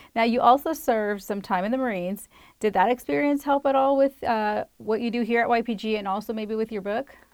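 A woman's fairly high-pitched, ordinary speaking voice at a fairly quick pace. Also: ordinary pitch variation. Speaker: podcast host. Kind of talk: interview chat.

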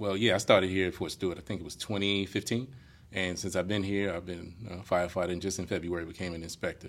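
A man in an American accent, very deep and monotone at a very fast pace, on a very clean recording with a silent background. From New York. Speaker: firefighter and fire inspector. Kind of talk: casual interview.

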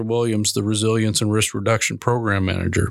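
A man with an American accent speaks at a fairly quick pace in a normal speaking voice, his pitch medium. The sound is dry and close with no echo, on a very clean recording with a silent background. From Minnesota. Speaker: podcast host, military public affairs officer. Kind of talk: interview.

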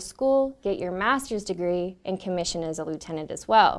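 On a very clean recording against a silent background, a woman talks at a moderate pace. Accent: Californian. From Northern California. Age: 20s. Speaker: army officer. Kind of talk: interview. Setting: studio.

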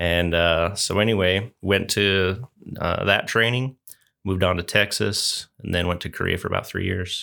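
A man speaks in an ordinary speaking voice, fairly low in pitch and with fairly even intonation. His pace is moderate, and the recording is very clean with a silent background. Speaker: Air Force Reserve member. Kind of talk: casual interview chat.

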